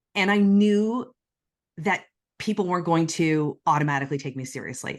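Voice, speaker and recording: Against a quiet background, a woman with a fairly low voice speaks at a moderate pace, her pitch swinging very widely. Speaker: corporate executive and CEO. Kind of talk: interview. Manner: conversational, many fillers.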